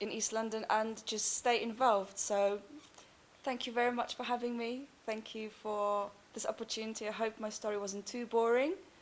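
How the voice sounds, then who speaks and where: This woman speaks in a Polish accent at a fairly high pitch. Her pace is moderate. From Poland. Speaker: actress and performer. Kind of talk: interview.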